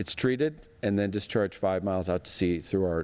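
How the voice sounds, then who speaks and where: Ordinary variation in pitch runs through the man's speech. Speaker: sanitation district general manager. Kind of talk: presentation to business audience. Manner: fast; conversational, jokey.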